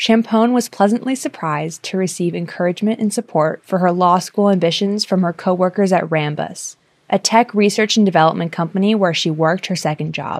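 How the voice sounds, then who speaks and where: This woman has a plain, everyday voice at a medium pitch, with ordinary pitch variation, a fairly quick pace and hardly any pauses. The sound is dry and close with no echo, on a very clean recording with a silent background. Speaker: podcast narrator / producer. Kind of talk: scripted narration.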